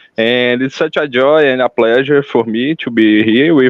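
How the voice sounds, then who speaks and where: A man with a medium-pitched voice and fairly even intonation talks at a very slow pace. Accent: Brazilian. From Brazil. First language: Portuguese. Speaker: farmer and educator. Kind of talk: casual chat.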